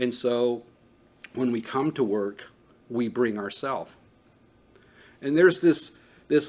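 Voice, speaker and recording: With an ordinary speaking voice, a man talks at a fairly slow pace with medium pitch and ordinary pitch variation. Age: 50s. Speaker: trauma training instructor. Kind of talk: lecture. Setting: training room with live audience.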